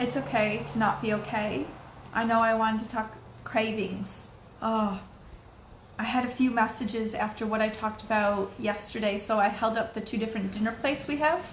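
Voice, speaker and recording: A woman speaks at a fairly high pitch with fairly even intonation. Her voice is somewhat breathy, and there is audible room echo. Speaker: video blogger. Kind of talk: casual vlog monologue. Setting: at home. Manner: fast.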